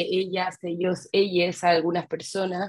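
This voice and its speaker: This woman speaks at a medium pitch. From Chile. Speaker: webinar participant, coaching student. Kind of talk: question-and-answer in an online class. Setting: video call. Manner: halting, many fillers.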